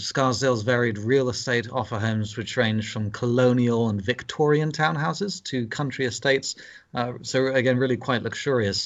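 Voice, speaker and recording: Speaking with a British accent, a man keeps a medium pitch and fairly even intonation at a fairly quick pace. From England (London). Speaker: pastor. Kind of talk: interview conversation. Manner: halting, many fillers.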